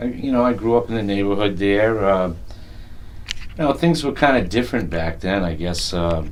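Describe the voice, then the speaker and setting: Lively in intonation, a man talks at a fairly quick pace with a fairly low pitch. Noticeable background noise and audible room echo come through. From Rhode Island, South County. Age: 50s. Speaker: blues musician. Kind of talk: oral history interview.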